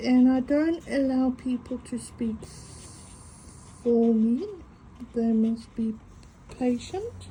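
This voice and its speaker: A very slow pace, long and frequent pauses, and noticeable background noise. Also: woman, high pitch for a woman, ordinary pitch variation. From South Africa. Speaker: craft video creator. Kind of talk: casual talk to camera while drawing. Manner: halting with stuttered vowels and W words.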